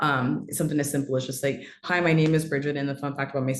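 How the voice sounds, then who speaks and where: A woman with an American accent and a very deep, low pitch is heard with audible room echo. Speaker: storyteller and marketing strategist. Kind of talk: webinar talk.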